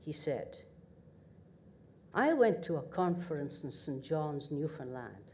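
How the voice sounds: Slow and low-pitched, a woman with a northeast Scottish accent speaks in a slightly mellow tone with big pitch swings.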